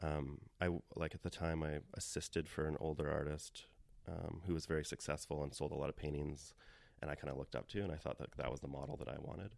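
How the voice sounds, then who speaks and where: Rushing at a very fast pace, a man talks with vocal fry in a very deep, low voice with fairly even intonation. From Canada. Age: 30s. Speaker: painter and art teacher. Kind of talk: casual interview. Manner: halting, many fillers.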